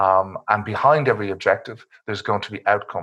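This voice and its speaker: A man's medium-pitched voice, bright and sharp in tone, with ordinary pitch variation and a fairly quick pace. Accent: Irish. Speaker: cyber security expert. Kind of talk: webinar presentation. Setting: online webinar. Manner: fast.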